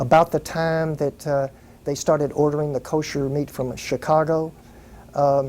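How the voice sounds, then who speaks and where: A man's fairly high voice in a Texan accent, with monotone, flat intonation. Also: moderate pace. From Fort Worth, Texas. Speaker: entertainment business owner. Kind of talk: interview answer.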